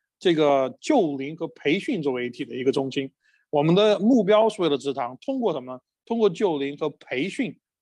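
Against a quiet background, a man speaks at a fairly quick pace with a fairly high pitch and lively intonation. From Chengdu, China. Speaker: pastor. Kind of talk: church workshop presentation in dialogue. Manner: hesitant with frequent fillers.

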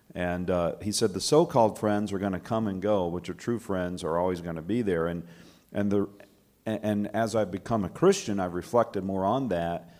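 A man with a plain, everyday voice talks at a moderate pace, with a fairly low pitch and ordinary pitch variation. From US South, Alabama. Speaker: church ministry worker. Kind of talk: panel discussion.

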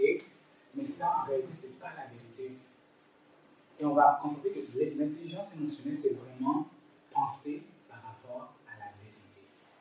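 Amid audible room echo, a man talks at a fairly slow pace with long, frequent pauses and big swings in loudness. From East Africa. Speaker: lay preacher. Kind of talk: sermon. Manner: halting.

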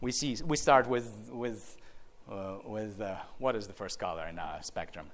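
In a room with audible echo, a man with a fairly low voice speaks at a moderate pace with lively intonation. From Ukraine (Chernivtsi region). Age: 50s. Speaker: beekeeper giving a talk. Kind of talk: lecture.

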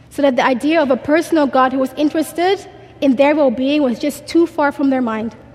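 Amid noticeable background noise, a woman talks at a fairly quick pace with a high pitch and ordinary pitch variation. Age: 20s. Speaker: conference speaker. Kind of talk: testimony. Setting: stage with audience. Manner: fast talker.

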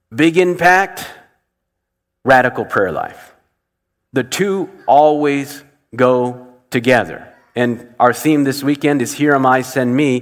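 At a very slow pace with long, frequent pauses, a man speaks at a fairly high pitch. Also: ordinary pitch variation. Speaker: pastor. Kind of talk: sermon. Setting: church.

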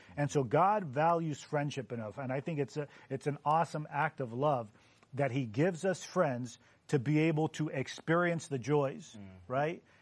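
A man with a plain, everyday voice at a fairly high pitch, over a quiet background. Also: ordinary pitch variation, moderate pace. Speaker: panelist. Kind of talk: casual Bible discussion. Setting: studio.

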